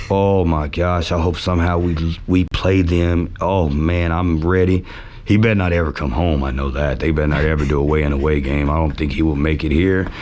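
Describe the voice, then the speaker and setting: This man speaks at a fairly quick pace with an American accent, his pitch very deep and low and his loudness very even, over noticeable background noise and audible room echo. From Texas, Richardson. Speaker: sports superfan. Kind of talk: podcast interview. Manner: animated.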